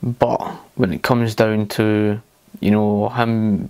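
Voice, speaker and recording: His pitch sits in the medium range. The man's delivery stays monotone and flat. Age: 30s. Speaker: political commentary video maker. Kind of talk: commentary on video clips. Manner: hesitant, many fillers.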